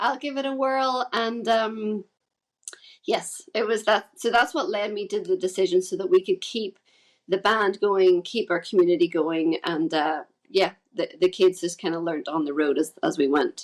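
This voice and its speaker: A woman speaks in a Northern Irish accent. Her pace is moderate and her intonation lively. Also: medium pitch for a woman. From Northern Ireland, Carrickfergus near Belfast. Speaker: musician in a folk band, homeschooling mother. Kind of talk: podcast interview. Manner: casual, with many fillers.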